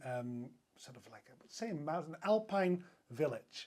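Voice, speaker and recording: A man talks at a fairly slow pace with a Dutch accent. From Netherlands. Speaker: hotel sales director. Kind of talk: podcast interview.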